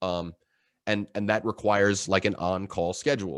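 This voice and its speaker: Over a quiet background, a man speaks with a very deep, low pitch and fairly even intonation. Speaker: marketing director. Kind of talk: webinar presentation. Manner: fast.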